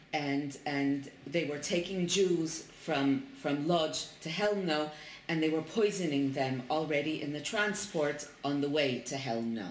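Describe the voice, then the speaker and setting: A woman speaks at a fairly slow pace in a very deep, low voice. Light background noise and audible room echo are present. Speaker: interviewer. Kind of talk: interview translation. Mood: calm, somber. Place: home room. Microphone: camera far.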